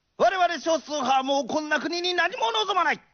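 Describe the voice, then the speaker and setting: Here a man speaks at an extremely high pitch, with ordinary pitch variation and a moderate pace. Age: 30s. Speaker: political candidate. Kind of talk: campaign speech. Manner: forceful.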